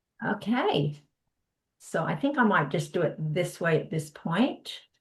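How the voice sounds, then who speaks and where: With an American accent, a somewhat breathy woman speaks at a fairly slow pace, her pitch swinging very widely. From US, San Diego, California. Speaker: knitting workshop teacher. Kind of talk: online workshop presentation. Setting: video call. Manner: hesitant, many fillers.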